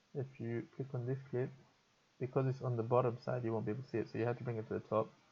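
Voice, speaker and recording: Speaking very fast, a man uses a dark, mellow tone that is somewhat breathy, with monotone, flat intonation. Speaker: video editing tutor streamer. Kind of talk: tutorial. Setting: live stream. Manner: casual, hesitant with fillers.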